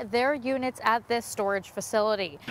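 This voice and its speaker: A woman speaks with a high pitch and ordinary pitch variation. Noticeable background noise runs under her voice. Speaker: TV news reporter. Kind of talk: TV news field report.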